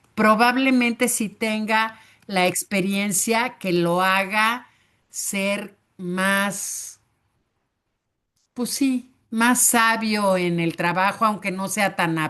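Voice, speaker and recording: Against a quiet background, a woman with a bright, sharp tone talks at a very slow pace in a medium pitch with fairly even intonation. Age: 60s. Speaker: teacher. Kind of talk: online class discussion. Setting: video call.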